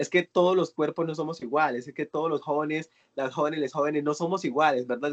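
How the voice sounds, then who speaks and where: Very fast and fairly high-pitched, a man talks with fairly even intonation. The sound is dry and close, with no echo. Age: 20s. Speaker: youth course facilitator. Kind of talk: online workshop discussion.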